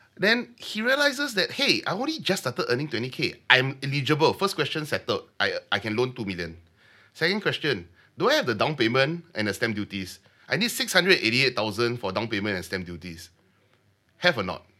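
A man with a fairly high pitch and a bright, sharp tone talks at a fairly quick pace, with vocal fry and very wide pitch swings. The recording is very clean, with a silent background. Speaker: mortgage broker. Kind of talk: interview. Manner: animated.

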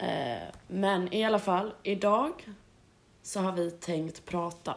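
A woman speaking at a very slow pace. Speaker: podcast co-host. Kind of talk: casual chat.

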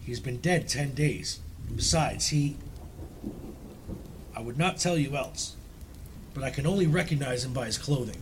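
Using a put-on character voice, a man speaks shakily at a fairly high pitch and a moderate pace, with long, frequent pauses. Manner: trembling, frightened.

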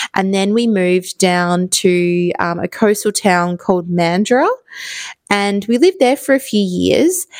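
Speaking in a strong Australian accent, a woman uses a warm tone at a medium pitch, fairly slow and with ordinary pitch variation, in a very clean recording with a silent background and a dry, close sound with no echo. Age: 30s. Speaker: podcast host. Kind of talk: solo podcast monologue, casual. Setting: home, recording in evening. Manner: chatty, warm, with laughs and filler words.

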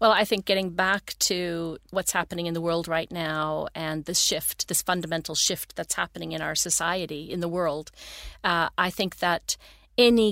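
A woman with a Canadian accent has an unremarkable speaking voice, fairly low and fairly even in intonation at a moderate pace, in a very clean recording with a silent background and a dry, close sound with no echo. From Canada (Toronto, Ontario). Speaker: entrepreneur. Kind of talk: interview. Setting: studio.

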